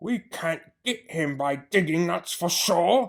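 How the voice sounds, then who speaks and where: A man shouts and growls in a put-on character voice pitched high, with lively intonation. He speaks at a fairly slow pace. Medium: read story. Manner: shouting.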